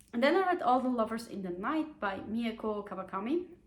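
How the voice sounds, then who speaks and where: Fairly high in pitch and somewhat breathy, a woman talks at a fairly quick pace with an animated tone and lively intonation. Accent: non-native. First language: not English. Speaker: book youtuber. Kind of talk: casual book review chat. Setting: home, on a sofa. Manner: casual, many fillers and hesitations.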